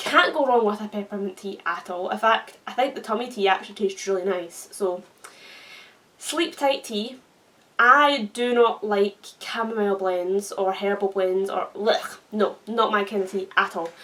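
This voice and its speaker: Amid noticeable background noise, a woman with a medium pitch speaks at a moderate pace with ordinary pitch variation. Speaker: YouTuber. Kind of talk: casual vlog chat.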